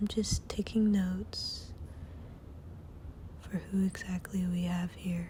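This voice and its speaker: Soft-spoken and very slow, the speech has long, frequent pauses over noticeable background noise. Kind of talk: ASMR role play check-in.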